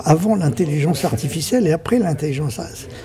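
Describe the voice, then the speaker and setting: Against noticeable background noise, a man talks with lively intonation in a fairly high pitch. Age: 80s+. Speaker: film director. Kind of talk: interview answer.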